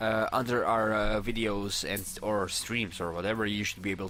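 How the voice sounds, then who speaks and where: A man with a non-native accent speaks in a fairly low voice with a bright, sharp tone. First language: not English. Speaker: gaming streamer. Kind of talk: casual chat.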